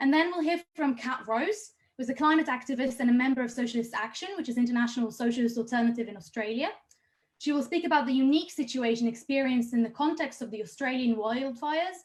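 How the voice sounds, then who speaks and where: A woman with an Israeli accent, high pitch, ordinary pitch variation and a very fast pace. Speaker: activist rally host. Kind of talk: event introduction. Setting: online livestream.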